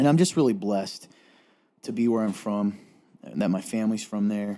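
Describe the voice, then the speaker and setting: In a slight Southern US accent, a man speaks at a fairly quick pace with a dark, mellow tone and very wide pitch swings, in a very clean recording with a silent background. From Eastern Kentucky (Appalachia). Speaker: talk show co-host. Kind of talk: casual chat.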